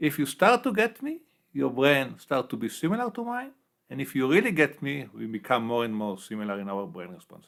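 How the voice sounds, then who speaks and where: A man with a strong non-native accent talks at a fairly quick pace, his loudness swinging widely. The recording is very clean with a silent background. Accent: heavy non-native English. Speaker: neuroscience professor. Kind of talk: interview.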